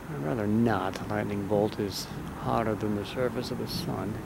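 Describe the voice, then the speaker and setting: A man mumbles at a moderate pace with fairly low pitch and ordinary pitch variation. Noticeable background noise and audible room echo surround him. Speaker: amateur storm videographer. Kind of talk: casual chat. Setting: outdoors. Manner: mumbling.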